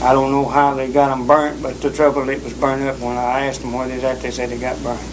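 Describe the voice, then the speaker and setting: In a Southern US accent, a man talks at a very fast pace. His medium-pitched voice stays monotone and flat. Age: young. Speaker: psychiatric patient. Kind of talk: interview answer.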